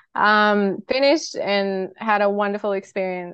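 Speaking with an Australian accent, a woman keeps a medium pitch and a fairly even intonation. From Australia, far north Queensland (Cairns). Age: 30s. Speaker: triathlete. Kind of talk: interview.

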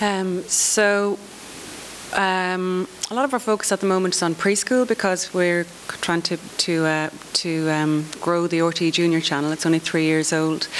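A woman with an Irish accent, fairly low in pitch, at a fairly slow pace with very even loudness and ordinary pitch variation, over noticeable background noise. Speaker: children's TV commissioner. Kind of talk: conference panel discussion.

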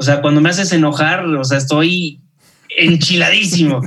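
A man with a plain, everyday voice. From Mexico, Guadalajara. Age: 30s. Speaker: journalist and TV news anchor. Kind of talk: casual interview chat.

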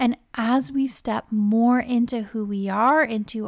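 A woman's high-pitched voice at a very slow pace, on a very clean recording with a silent background. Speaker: psychic medium podcast host. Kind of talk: channeled spiritual guidance monologue.

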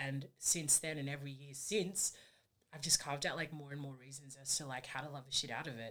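Speaking with an Australian accent, a woman uses a very deep, low pitch and fairly even intonation, while her loudness swings a lot. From Sydney, Australia (Fijian family). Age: 20s. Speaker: rugby union player. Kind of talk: interview. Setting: studio.

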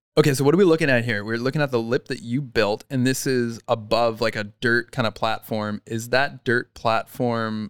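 A man has an unremarkable speaking voice, a Canadian accent and medium pitch with fairly even intonation. He talks at a moderate pace with hardly any pauses on a very clean recording with a silent background. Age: 30s. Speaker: podcast host. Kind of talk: casual chat.

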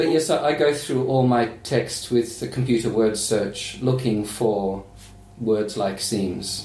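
In a room with audible echo, a man speaks at a fairly slow pace with ordinary pitch variation. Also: medium pitch for a man. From Australia. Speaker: novelist. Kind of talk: casual chat.

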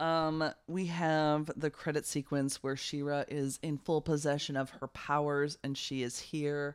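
A woman with a very deep, low voice speaks at a fairly slow pace with hardly any pauses. Her intonation is monotone and flat, and the recording is very clean with a silent background. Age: 30s. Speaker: performer and director. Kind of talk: casual chat.

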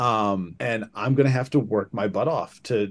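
With a Midwestern American accent, a man speaks at a medium pitch and a moderate pace, using ordinary pitch variation. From southern Michigan. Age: 40s. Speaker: high school band director. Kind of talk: casual interview. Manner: hesitant with many fillers.

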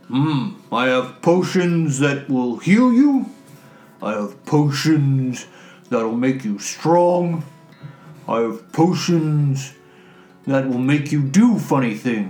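Using a put-on character voice, a man with a fairly high pitch talks at a very slow pace with long, frequent pauses. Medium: actual play. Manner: slow, terse, humming "hmm" before speaking.

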